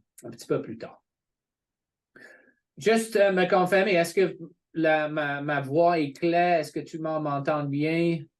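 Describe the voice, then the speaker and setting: Against a quiet background, a man with a fairly high pitch speaks fairly slowly, with ordinary pitch variation, big swings in loudness, and long, frequent pauses. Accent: English. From England. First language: English (speaking French). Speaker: college representative. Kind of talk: informational webinar presentation. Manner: hesitant, many fillers.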